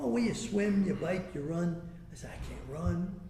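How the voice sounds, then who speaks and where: A man's fairly high voice with ordinary pitch variation, amid noticeable background noise and audible room echo. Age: 80s+. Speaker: inventor and speaker. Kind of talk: personal story told to an audience. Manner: animated.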